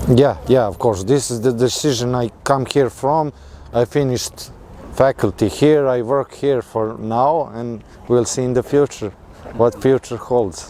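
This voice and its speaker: Over noticeable background noise, a man speaks fairly slowly with a medium pitch and fairly even intonation. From Serbia. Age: 20s. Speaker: mechanical engineer. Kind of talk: interview. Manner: halting.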